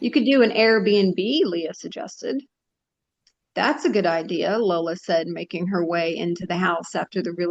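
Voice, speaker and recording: A woman with an ordinary speaking voice talks at a moderate pace, her pitch fairly low and her pitch variation ordinary. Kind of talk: short story reading.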